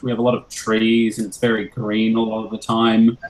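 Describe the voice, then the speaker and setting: Medium-pitched male speech in an Australian accent. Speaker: musician. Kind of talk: casual Q&A with school class.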